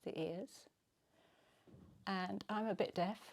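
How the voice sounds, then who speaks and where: Low-pitched for a woman, she speaks with an English accent. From England. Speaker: retreat participant. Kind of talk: video diary testimony. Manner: hesitant, many fillers.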